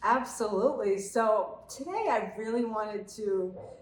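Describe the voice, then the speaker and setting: Someone with an American accent speaks amid audible room echo and noticeable background noise. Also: woman. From Cape Cod, Massachusetts. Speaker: army veteran, real estate co-host. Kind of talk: casual chat.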